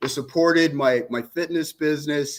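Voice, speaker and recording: His voice sitting fairly high, a man keeps to a moderate speed. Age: 60s. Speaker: fitness trainer and bodybuilder. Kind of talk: casual interview chat. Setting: live stream. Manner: animated.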